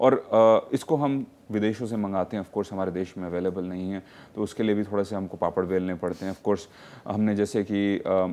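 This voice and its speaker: A man's dark, mellow voice at a moderate pace, with fairly even intonation and a quiet background. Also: fairly low pitch for a man. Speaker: doctor. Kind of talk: TV call-in health show.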